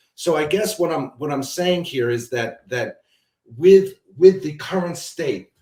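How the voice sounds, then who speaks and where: This man's voice is somewhat breathy. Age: 60s. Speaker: commodities trader and analyst. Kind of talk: interview. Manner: halting, with frequent repetitions and fillers.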